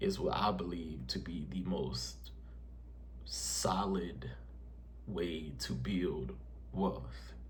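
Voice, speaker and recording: A man speaking very slowly with lively intonation, amid audible room echo. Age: 20s. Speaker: personal finance youtuber. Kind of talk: casual vlog talk to camera. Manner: halting, many fillers; unscripted, conversational.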